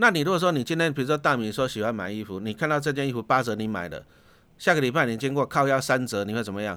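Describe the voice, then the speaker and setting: A bright, sharp voice at a very fast pace with lively intonation, on a very clean recording with a silent background. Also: man, medium pitch for a man. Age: 50s. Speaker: investment author, former teacher. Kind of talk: casual interview.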